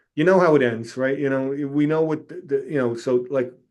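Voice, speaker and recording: This man speaks at a fairly quick pace. His pitch sits fairly high. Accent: New York. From New York City, Staten Island. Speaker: retired fire captain and author. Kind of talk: casual interview. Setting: podcast interview.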